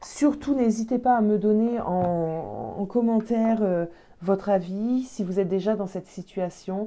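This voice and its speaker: A woman's dark, mellow voice at a fairly slow pace, with ordinary pitch variation. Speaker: tarot card reader. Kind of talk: tarot reading video. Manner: halting, frequent hesitations.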